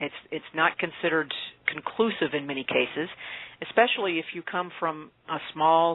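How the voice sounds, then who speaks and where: A woman speaks at a fairly low pitch with an American accent. Her pitch varies in an ordinary way, at a moderate pace. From Appalachia, US. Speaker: author. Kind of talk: interview. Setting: radio interview.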